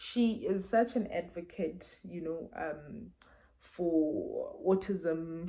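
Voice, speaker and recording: A woman's dark, mellow, somewhat breathy voice, fairly low in pitch, at a very slow pace. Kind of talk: book review vlog. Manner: halting, many fillers and repeats.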